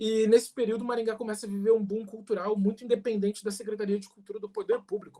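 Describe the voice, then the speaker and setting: At a fairly quick pace, a man speaks with a high pitch and a dark, mellow tone. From Brazil, Paraná (Umuarama). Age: 20s. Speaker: municipal culture secretary. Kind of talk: panel talk.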